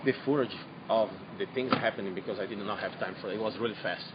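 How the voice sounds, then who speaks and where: With noticeable background noise, a man with a non-native accent talks in a fairly low pitch with ordinary pitch variation. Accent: foreign accent, noticeable. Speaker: eyewitness to a disaster. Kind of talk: on-scene news interview. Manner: halting, repeating words.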